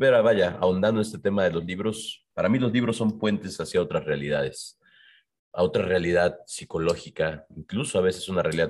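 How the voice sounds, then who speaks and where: A man speaks against a quiet background. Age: 40s. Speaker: bookshop founder. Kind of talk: casual chat. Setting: bookshop.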